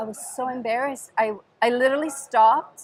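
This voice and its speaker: A high-pitched woman with an Italian accent at a moderate pace. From Sicily, southern Italy. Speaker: podcast host and dance teacher. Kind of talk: reverse interview, casual chat.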